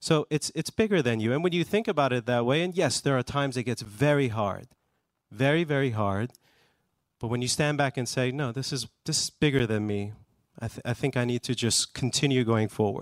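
A man with an ordinary speaking voice talks at a fairly quick pace and a medium pitch with ordinary pitch variation, recorded very cleanly against a silent background in a dry, close sound with no echo. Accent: American. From US, Iranian family. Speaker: music company executive. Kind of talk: panel discussion. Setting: stage with audience.

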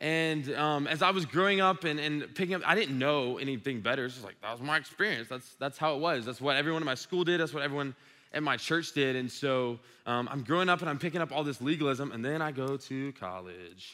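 Bright and sharp in tone, this voice moves at a very fast pace with an American accent. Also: man, fairly high pitch for a man, ordinary pitch variation. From Georgia (Dublin), US South. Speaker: youth ministry director. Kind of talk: sermon. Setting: stage with audience. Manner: animated.

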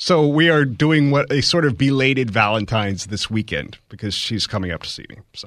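An ordinary speaking voice with lively intonation, a moderate pace, big swings in loudness and hardly any pauses. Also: man, medium pitch for a man. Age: 40s. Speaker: radio co-host. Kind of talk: radio talk show. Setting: radio studio.

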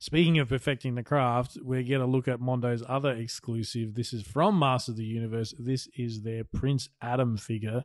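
A man talks with an Australian accent and fairly even intonation. The background is quiet. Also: medium pitch for a man, moderate pace, hardly any pauses. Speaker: podcast co-host. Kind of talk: casual chat.

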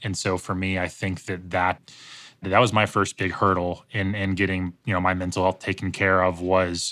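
At a moderate pace, a bright, sharp tone comes through in a very clean recording with a silent background. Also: man. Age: 20s. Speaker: professional race car driver. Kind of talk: interview about personal trauma.

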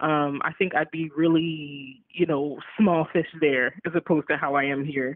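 A woman with an American accent and a very deep, low pitch, at a moderate pace. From Baltimore, Maryland. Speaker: arts advocate and philanthropist. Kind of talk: interview. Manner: casual, many filler words.

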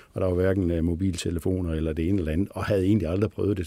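A man speaks at a very fast pace in a very deep, low pitch with a dark, mellow tone. His intonation is fairly even, and the recording is very clean with a silent background. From Denmark, Billund (Jutland). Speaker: company CEO. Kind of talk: interview. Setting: studio. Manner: halting, many fillers.

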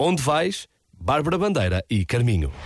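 Speaking with a European Portuguese accent and lively intonation, a man is heard in a very clean recording with a silent background. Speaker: radio host. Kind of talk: radio chart show presenting. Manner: animated.

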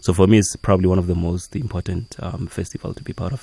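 Very fast and somewhat breathy, a man speaks with a very deep, low pitch and a dark, mellow tone. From South Africa, Limpopo. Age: 30s. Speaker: visual artist. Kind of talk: radio interview. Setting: radio studio.

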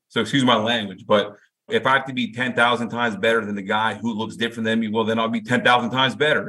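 Fairly quick delivery and fairly even intonation in an ordinary speaking voice. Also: man. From US, Indian-American. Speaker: football coach. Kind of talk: interview. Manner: casual, filler-heavy.

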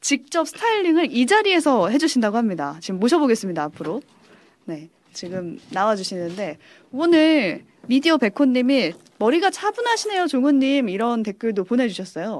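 Speaking in a high pitch, a woman shows very wide pitch swings. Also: moderate pace. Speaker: radio host interviewer. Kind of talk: casual interview chat. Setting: studio.

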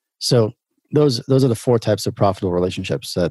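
Very clean with a silent background and a dry, close sound with no echo, this recording has a man with a New York accent speaking at medium pitch in a dark, mellow tone with ordinary pitch variation. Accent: New York American. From Brooklyn, New York. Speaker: entrepreneur. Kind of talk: interview conversation.

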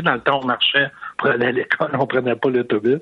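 A man's voice, medium in pitch, comes through against noticeable background noise. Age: 60s. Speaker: caller. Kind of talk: testimony.

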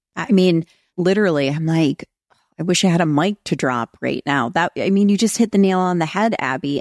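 Recorded dry and close with no echo over a quiet background, a woman with a Southern US accent speaks in an animated tone with ordinary pitch variation. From North Carolina. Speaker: podcast host. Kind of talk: casual conversational chat. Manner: animated, chatty.

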